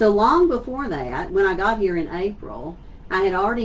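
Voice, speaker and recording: A woman with a Southeast Texas accent speaks at a fairly quick pace with ordinary pitch variation. Noticeable background noise and audible room echo surround her voice. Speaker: school superintendent. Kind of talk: virtual town hall address. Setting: livestream on social media. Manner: conversational.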